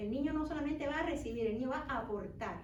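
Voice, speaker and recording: Noticeable background noise and audible room echo surround this recording. A woman speaks fairly quickly at a high pitch with ordinary pitch variation. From Cuba. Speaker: children's author. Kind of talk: book fair talk. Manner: halting, many restarts.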